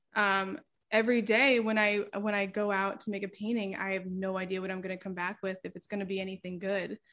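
A woman with an American accent and a normal speaking voice talks at a fairly quick pace and medium pitch. The background is quiet. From Pennsylvania, Lehigh Valley. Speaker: painter. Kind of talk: casual interview chat.

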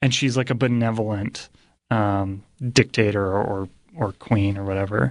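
A man with a fairly low pitch has an unremarkable speaking voice. He speaks at a moderate pace against a quiet background. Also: ordinary pitch variation. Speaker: guest co-host. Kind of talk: casual chat.

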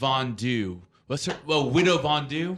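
At a very slow pace, a man with an American accent uses very wide pitch swings in a bright, sharp tone. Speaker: radio host. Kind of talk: casual chat. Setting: studio.

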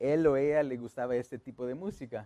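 Moderate pace and a dark, mellow tone from a man. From Los Angeles, Guatemalan family. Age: 30s. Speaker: funeral home owner. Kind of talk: casual interview. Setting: studio.

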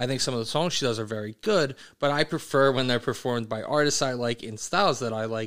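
In a plain, everyday voice, a man talks at a fairly quick pace with a medium pitch and ordinary pitch variation. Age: 30s. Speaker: podcast host and band director. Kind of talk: casual chat.

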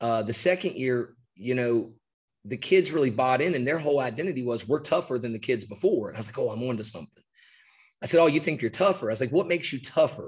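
A man talks at a very fast pace with an American accent. His voice is somewhat breathy, and his intonation is lively. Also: medium pitch for a man, quiet background. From West Virginia. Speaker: high school basketball coach. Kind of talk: casual interview on coaching. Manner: animated.

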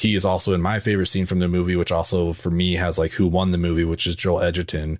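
A man talks at a very fast pace with hardly any pauses, in a very deep, low voice with monotone, flat intonation and very even loudness. The recording is very clean, with a silent background. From Salt Lake City, Utah. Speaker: podcast host. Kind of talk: casual chat.

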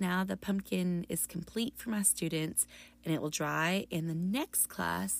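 The recording is very clean, with a silent background. A woman speaks fairly slowly with fairly even intonation. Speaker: middle school art teacher and podcast host. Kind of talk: solo podcast tutorial. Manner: fading, lower pitch toward the end.

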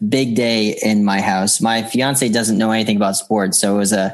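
A man with an American accent and an unremarkable speaking voice, fairly low in pitch, at a moderate pace. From Boston. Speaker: comedian. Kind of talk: casual chat.

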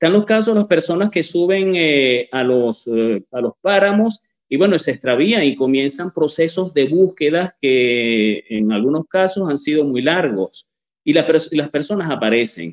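A man's fairly high pitch in very wide swings, at a fairly slow pace. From Venezuela, Barquisimeto. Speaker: journalist and author. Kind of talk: interview. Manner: halting, many fillers.

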